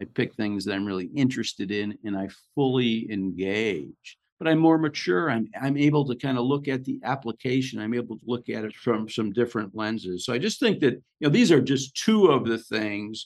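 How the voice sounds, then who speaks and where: A man speaks at a fairly quick pace in a normal speaking voice, with medium pitch, ordinary pitch variation and a quiet background. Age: 60s. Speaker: podcast host. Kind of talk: casual conversation.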